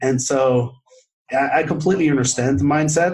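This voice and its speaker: A man speaks with a non-native accent. His voice is fairly high and somewhat breathy. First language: not English. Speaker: podcast host and author. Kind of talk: casual chat.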